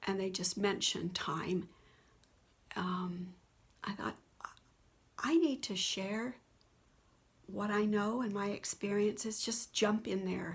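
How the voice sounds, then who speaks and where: Medium pitch from a woman, ordinary pitch variation, vocal fry and a fairly slow pace. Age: 70s. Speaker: spiritual video blogger. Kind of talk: personal testimony monologue. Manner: unscripted, halting.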